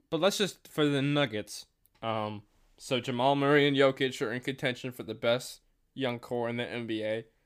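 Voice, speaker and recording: In a plain, everyday voice, a man talks at a moderate pace with ordinary pitch variation over a very clean recording with a silent background. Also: medium pitch for a man. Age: young. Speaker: student podcast host. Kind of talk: solo review monologue; casual chat.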